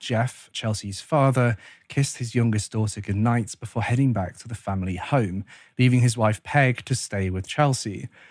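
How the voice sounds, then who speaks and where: This man has a normal speaking voice at a medium pitch with ordinary pitch variation. He talks at a moderate pace on a very clean recording with a silent background. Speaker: true crime YouTube narrator. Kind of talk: true-crime narration, scripted case retelling. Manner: measured, even, serious storytelling pace; formal, grave, matter-of-fact.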